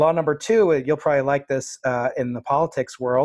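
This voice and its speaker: A man with an American accent and a plain, everyday voice talks at a fairly quick pace in a fairly high pitch with ordinary pitch variation against a quiet background. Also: dry, close sound with no echo. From US East Coast. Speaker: podcast host, physics professor. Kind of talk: interview.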